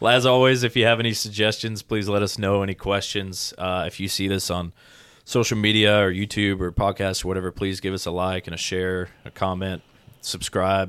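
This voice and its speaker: Over a silent background in a very clean recording, a man speaks in a plain, everyday voice, fairly low in pitch, at a moderate pace with fairly even intonation. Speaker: podcast co-host and firefighter. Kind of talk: casual chat.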